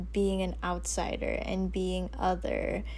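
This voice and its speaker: Speech unfolds at a very slow pace with audible room echo. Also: woman. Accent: American. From US Northeast, Westchester New York. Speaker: podcast co-host. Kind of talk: casual chat.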